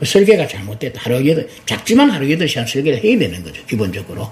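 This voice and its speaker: Against noticeable background noise, a man with a fairly high pitch talks at a fairly quick pace with very wide pitch swings. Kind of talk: interview.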